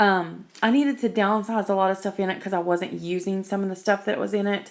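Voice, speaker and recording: Her pace is fairly quick and her intonation fairly even. The woman's pitch sits in the medium range. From West Virginia. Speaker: YouTuber. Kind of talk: show-and-tell tutorial. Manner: casual, chatty with many fillers.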